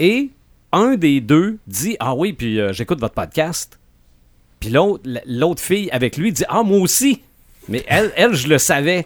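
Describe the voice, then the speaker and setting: Very slowly and with long, frequent pauses, a man speaks in a high voice whose pitch swings very widely. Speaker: podcast host. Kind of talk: casual chat.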